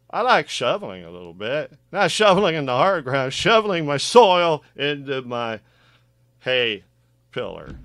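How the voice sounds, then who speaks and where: On a very clean recording with a silent background, a man with a fairly high pitch speaks at a moderate pace, with very wide pitch swings and big swings in loudness. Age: 60s. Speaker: gardening vlogger. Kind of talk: casual monologue tutorial. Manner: animated.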